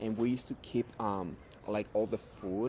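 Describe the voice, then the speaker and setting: A man's fairly low, monotone, flat voice at a fairly slow pace. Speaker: job applicant. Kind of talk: mock job interview. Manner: halting, many fillers.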